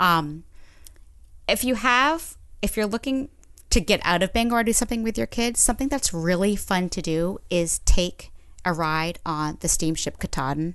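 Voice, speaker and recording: A woman with an American accent talks at a moderate pace and medium pitch, her voice making very wide pitch swings against a quiet background. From Maine, US (Orono). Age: 40s. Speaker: regional tourism grant manager. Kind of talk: casual chat.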